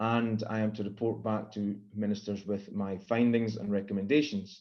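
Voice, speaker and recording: Against a quiet background, the speaking goes along at a moderate speed. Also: man. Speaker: planning inquiry reporter. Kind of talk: formal hearing chairing. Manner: hesitant, many fillers.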